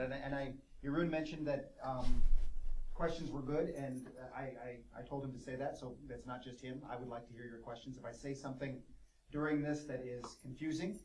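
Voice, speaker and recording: A man with an American accent, medium in pitch and fairly quick, with fairly even intonation, big swings in loudness, audible room echo and noticeable background noise. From United States. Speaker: professor. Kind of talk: lecture. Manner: fast.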